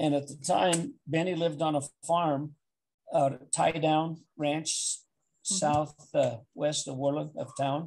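With light background noise, a man speaks at a fairly slow pace. His voice is somewhat breathy. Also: fairly even intonation. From Wyoming. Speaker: interviewee. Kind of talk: oral history interview answer. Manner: hesitant, conversational storytelling. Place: home room. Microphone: video call.

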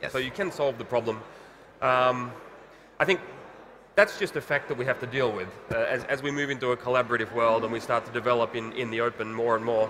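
Light background noise sits behind a man who talks at a very fast pace with ordinary pitch variation and long, frequent pauses. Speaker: telecom open source engineer. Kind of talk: panel discussion. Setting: conference stage with live audience. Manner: halting, many fillers and repetitions. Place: stage.

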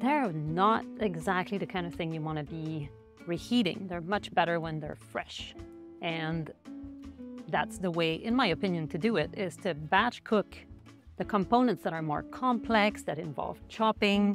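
Clear music plays behind a woman speaking at a moderate pace in a fairly low pitch. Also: dry sound with no echo. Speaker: food blogger. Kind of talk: tutorial. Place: kitchen. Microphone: lapel.

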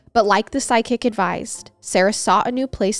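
A woman's fairly high voice in a dramatic tone, with ordinary pitch variation, dry, close sound with no echo, and music in the background. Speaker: podcast host. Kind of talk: true-crime horror narration, scripted storytelling of historical events; casual chatty intro to listeners. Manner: measured, storyteller's pacing with dramatic, hushed gravity.

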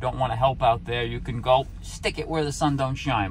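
A man speaks at a fairly quick pace in a dry sound with no echo. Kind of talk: casual vlog chat. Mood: joking, playful. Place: car. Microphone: phone near.

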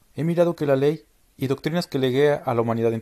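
On a very clean recording with a silent background and a dry, close sound with no echo, a man speaks at a medium pitch in a dark, mellow tone with lively intonation. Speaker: narrator reading spiritual doctrine. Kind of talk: scripted reading of solemn religious teachings, in the voice of a divine speaker.

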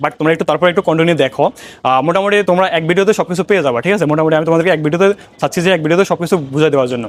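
With ordinary pitch variation, this man talks in a high pitch. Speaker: exam prep YouTuber. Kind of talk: tutorial. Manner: casual, informal.

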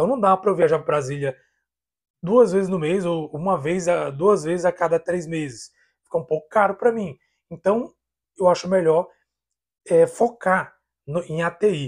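Over a quiet background, a man with a high pitch and ordinary pitch variation speaks with long, frequent pauses. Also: moderate pace. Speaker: YouTuber on IT civil service exams. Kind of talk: casual vlog talk. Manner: animated. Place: home room. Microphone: lapel.

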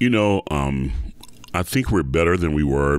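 Moderately paced, a man speaks with an American accent. His voice is very deep and low. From US South, Atlanta, Georgia. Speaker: opera singer. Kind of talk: interview.

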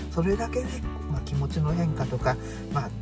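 Clear music plays in the background as a man speaks. The sound is dry, with no echo. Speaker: vlogger. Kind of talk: casual vlog chat. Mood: cheerful, smiling. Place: car. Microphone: phone near.

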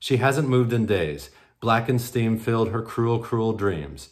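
Here is a man with a plain, everyday voice at medium pitch. He speaks at a moderate pace over a quiet background. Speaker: poet. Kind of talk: poetry reading, performed aloud from written poems. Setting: virtual conference roundtable, recorded video. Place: home room. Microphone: webcam.

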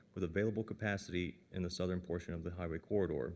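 The man's voice is very deep and low, with fairly even intonation. He talks at a very fast pace over light background noise. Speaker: county planning staff. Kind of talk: staff report presentation. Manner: formal. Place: meeting room.

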